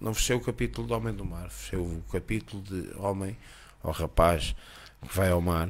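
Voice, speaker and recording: With a very deep, low pitch and very wide pitch swings, a man speaks at a moderate pace. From Portugal, Costa de Caparica. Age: 50s. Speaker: chef. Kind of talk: casual chat. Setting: at his home.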